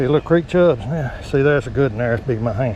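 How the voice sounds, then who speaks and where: A man with a Southern US accent talks at a very fast pace amid noticeable background noise. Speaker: fishing channel host. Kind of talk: outdoor vlog narration. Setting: outdoors by a creek. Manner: animated.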